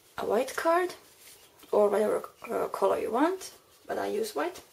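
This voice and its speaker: Amid noticeable background noise, a woman with a Finnish accent speaks at a moderate pace. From Finland. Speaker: crafting tutorial maker. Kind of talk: tutorial. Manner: halting.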